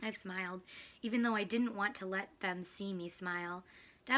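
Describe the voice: Simply plain reading aloud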